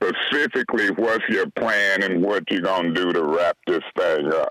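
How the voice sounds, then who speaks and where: Here is an ordinary speaking voice of a man with an American accent. He talks at a fairly slow pace with a fairly low pitch. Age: 60s. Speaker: city councilman. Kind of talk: radio interview.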